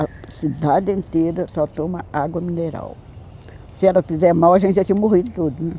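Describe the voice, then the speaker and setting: This woman has an ordinary speaking voice with a fairly low pitch. She keeps a moderate pace and a fairly even intonation. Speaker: local resident interviewee. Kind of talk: documentary interview.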